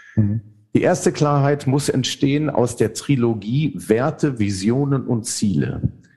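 With music in the background, a man speaks at a medium pitch and a fairly slow pace, using ordinary pitch variation. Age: 50s. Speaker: theologian and author. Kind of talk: interview.

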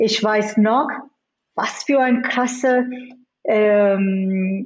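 This woman's voice sits fairly high. She speaks at a very slow pace. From India and the US. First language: not German (Indian languages/English) (speaking German). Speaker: business executive. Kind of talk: interview. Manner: frequent hesitations and English code-switching.

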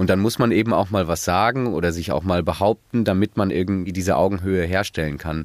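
A man with a very deep, low pitch speaks at a moderate pace with fairly even intonation, in a dry, close, echo-free sound with a very clean, silent background. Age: 20s. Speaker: student, construction site worker. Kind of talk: casual interview.

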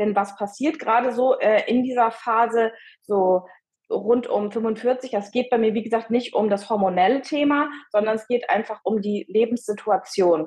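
At a moderate pace, a woman speaks in an ordinary speaking voice with a fairly high pitch and ordinary pitch variation. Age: 50s. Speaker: midlife coach. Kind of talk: interview.

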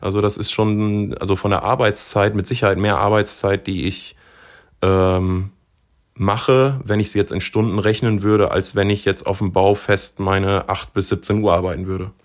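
A man with a plain, everyday voice speaks at a moderate pace and a fairly low pitch. His intonation is fairly even, on a very clean recording with a silent background. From Osnabrück, northern Germany. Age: 30s. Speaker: professional angler. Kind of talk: casual interview chat.

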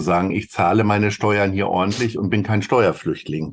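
The pace of this man's speech is moderate. His pitch rises and falls ordinarily. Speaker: podcast co-host, agency managing director. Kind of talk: casual chat.

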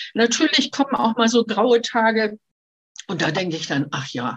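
A woman speaks at a moderate pace, her voice somewhat breathy. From Hamburg, northern Germany. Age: 70s. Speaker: retired tour guide living with Parkinson's. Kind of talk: life story interview. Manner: hesitant with fillers.

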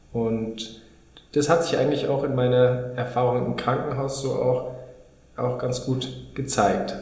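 A man with a medium-pitched voice talks in a flat monotone, leaving long, frequent pauses, with noticeable background noise and audible room echo. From Munich, Bavaria. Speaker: dermatologist, podcast co-host. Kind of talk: educational conversation. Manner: hesitant, with fillers.

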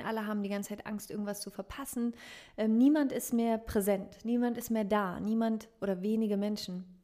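Fairly high-pitched and quick, this woman has an ordinary speaking voice. Her intonation stays fairly even. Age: 30s. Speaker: meditation coach and podcaster. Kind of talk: interview.

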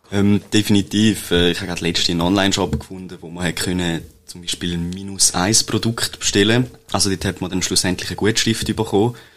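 Against noticeable background noise, a man with a very deep, low voice speaks at a very fast pace with big swings in loudness. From Switzerland, Toggenburg (St. Gallen). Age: 20s. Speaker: computer scientist, web agency co-founder. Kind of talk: interview. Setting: studio. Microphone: shared microphone, may sound quieter.

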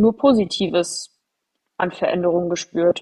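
A woman's medium-pitched voice with fairly even intonation at a very slow pace. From Germany, near Frankfurt. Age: 30s. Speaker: podcast host. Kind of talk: solo personal storytelling podcast. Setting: studio microphone.

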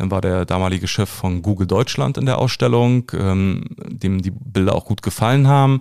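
A man's fairly low voice, with ordinary pitch variation, moves at a moderate pace on a very clean recording with a silent background. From Berlin (Köpenick), former East Germany. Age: 40s. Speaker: actor. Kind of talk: casual interview. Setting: small studio. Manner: hesitant with many fillers.

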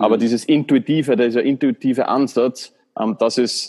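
The recording is dry and close with no echo, as a man speaks in an Austrian accent. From Austria, Baden (Lower Austria). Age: 30s. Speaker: former Olympic athlete and coach. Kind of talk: interview. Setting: hotel room. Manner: halting.

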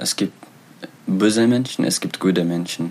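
Noticeable noise runs in the background. The man's intonation stays fairly even throughout. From Eritrea. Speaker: author and refugee. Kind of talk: interview. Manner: halting.

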